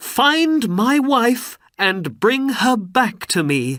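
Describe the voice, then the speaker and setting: In a put-on character voice pitched extremely high, a man speaks very slowly with lively intonation. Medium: read story. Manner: earnest.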